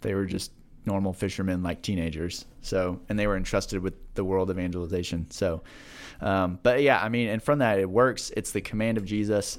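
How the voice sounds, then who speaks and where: Heard in a very clean recording with a silent background, a man with an American accent and a fairly low pitch speaks at a moderate pace with ordinary pitch variation. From Kansas (Manhattan). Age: 30s. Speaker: ministry leader. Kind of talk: casual interview.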